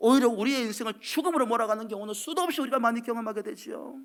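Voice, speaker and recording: A man talks at a very fast pace in an extremely high voice. The recording is very clean, with a silent background. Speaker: pastor. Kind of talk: sermon. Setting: church.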